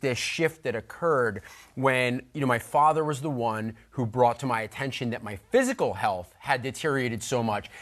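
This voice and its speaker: A man talks at a fairly quick pace in an energetic tone. His pitch variation is ordinary, over a quiet background. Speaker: fitness TV host. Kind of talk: TV fitness show. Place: studio. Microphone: lapel.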